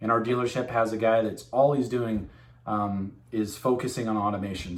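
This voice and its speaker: A man's medium-pitched voice at a fairly quick pace, with fairly even intonation and audible room echo. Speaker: machine tool sales rep. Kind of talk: informal video message to customers. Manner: fast; casual, filler-heavy.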